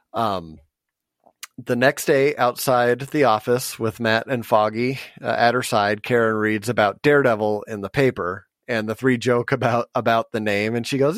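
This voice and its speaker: A man with an ordinary speaking voice, medium pitch, moderate pace, and a dry, close sound with no echo. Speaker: podcast co-host. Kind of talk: casual chat.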